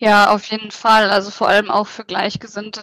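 Recorded with a dry, close sound and no echo, the voice holds a moderate pace in a monotone, flat intonation. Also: woman. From Hanover region, northern Germany. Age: 30s. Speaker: interview guest sharing pregnancy loss experience. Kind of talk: personal testimony. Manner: hesitant, with many fillers.

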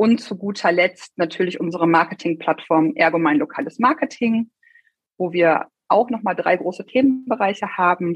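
Her pitch swings very widely as the woman presses on at a fairly quick pace. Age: 30s. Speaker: regional marketing manager at an insurer. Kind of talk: interview.

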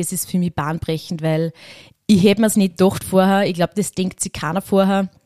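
On a very clean recording with a silent background and a dry, close sound with no echo, a woman speaks at a medium pitch with a dark, mellow tone and fairly even intonation. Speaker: rural youth club leader. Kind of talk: interview. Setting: historic railway carriage.

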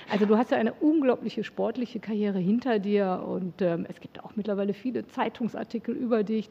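Fairly quick, medium-pitched woman's voice with ordinary pitch variation, big swings in loudness and hardly any pauses, over noticeable background noise. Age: 50s. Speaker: podcast host. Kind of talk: interview. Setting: studio.

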